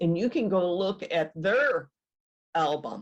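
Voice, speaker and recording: A woman with an Upper Midwest accent, a fairly low pitch and a very slow pace. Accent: Upper Midwest American. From Michigan, USA. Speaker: genealogist, retired teacher. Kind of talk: webinar presentation.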